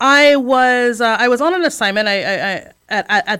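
A woman with an American accent has a bright, sharp tone and ordinary pitch variation. The recording is very clean, with a silent background. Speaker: nonprofit board chair. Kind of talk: interview. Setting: studio. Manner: articulate, polished.

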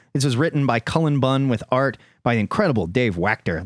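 Medium in pitch, a man's voice makes very wide pitch swings at a fairly quick pace. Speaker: podcast host. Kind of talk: casual chat. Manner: animated.

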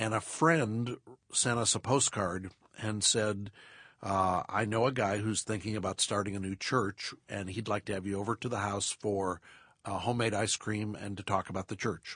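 A man with an ordinary speaking voice talks at a moderate pace, his pitch fairly low and his intonation fairly even. The background is quiet, and the sound is dry and close with no echo. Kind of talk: casual interview. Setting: studio.

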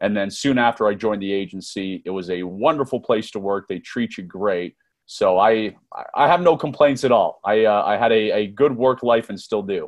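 With an American accent, a man speaks in an unremarkable speaking voice at a moderate pace, with fairly low pitch and ordinary pitch variation. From US, Northern Virginia. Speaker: former intelligence officer and author. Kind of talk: interview.

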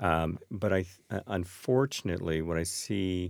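At a very slow pace, the speaker talks with ordinary pitch variation. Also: man. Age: 50s. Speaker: wealth management firm founder. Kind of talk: panel podcast discussion. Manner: halting, repeats words.

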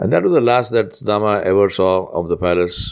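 His intonation stays fairly even. The man speaks at a moderate pace. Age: 60s. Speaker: imam. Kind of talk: sermon. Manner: reflective storytelling.

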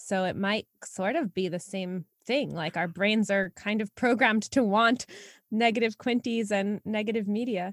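An unremarkable speaking voice goes at a moderate pace with ordinary pitch variation. The recording is very clean, with a silent background and a dry, close sound with no echo. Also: woman, medium pitch for a woman. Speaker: podcast co-host. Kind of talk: casual co-hosted podcast conversation. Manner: upbeat, laughs often.

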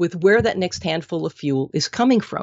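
A woman with an American accent and a normal speaking voice, fairly low in pitch, lively in intonation and moderate in pace. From Minnesota. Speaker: nutrition consultant and author. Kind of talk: interview.

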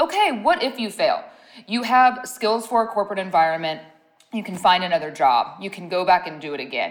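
A woman talks at a fairly quick pace with an American accent. Noticeable background noise runs behind her. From US Midwest, Ohio. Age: 30s. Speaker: skincare company founder. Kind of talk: interview.

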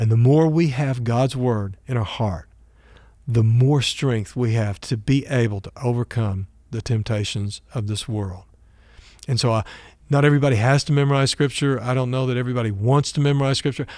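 A man with an American accent has an ordinary speaking voice at a medium pitch. His pitch variation is ordinary, and the recording is very clean with a silent background. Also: moderate pace. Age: 60s. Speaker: pastor. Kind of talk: sermon.

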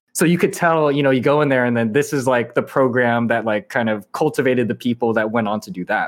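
In a Californian accent, the speaker races along at a very fast pace with hardly any pauses and ordinary pitch variation on a very clean recording with a silent background. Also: man, medium pitch for a man. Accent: Californian American. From Southern California (Irvine). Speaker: indie game developer. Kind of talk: interview.

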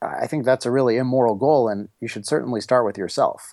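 In a dry, close recording with no echo, a man with an American accent speaks at a fairly quick pace in an ordinary speaking voice, medium in pitch with ordinary pitch variation. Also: very clean recording, silent background. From US, Washington D.C. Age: 30s. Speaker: author. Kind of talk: interview.

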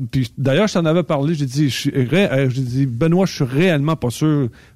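Speaking at a fairly slow pace, a man with a fairly high pitch and a dark, mellow tone is heard with a dry, close sound with no echo on a very clean recording with a silent background. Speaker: trucking recruiter and driving coach. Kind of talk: casual chat.

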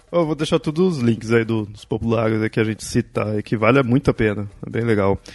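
A man with an unremarkable speaking voice talks fairly quickly, with hardly any pauses. His medium pitch shows ordinary variation, and the sound is dry and close with no echo. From Brazil, Southeast. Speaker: podcast host. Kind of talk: casual chat.

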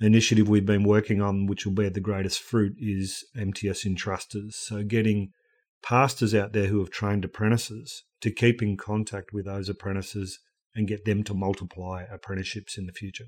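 On a very clean recording with a silent background, a man with an Australian accent speaks fairly quickly in a fairly low, monotone, flat voice. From rural Australia. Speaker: ministry organisation director. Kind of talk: podcast interview.

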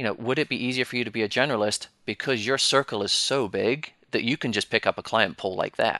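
A man with a British accent talks at a very fast pace with hardly any pauses, his intonation fairly even and his tone bright and sharp. The background is quiet. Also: medium pitch for a man, dry, close sound with no echo. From Britain. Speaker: financial planner and firm owner. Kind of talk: panel discussion.

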